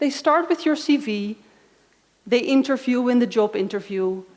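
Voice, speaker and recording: A woman speaks with a fairly high pitch at a moderate pace. Her pitch varies in an ordinary way. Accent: Dutch. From Netherlands. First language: Dutch. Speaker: conference speaker. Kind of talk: conference talk.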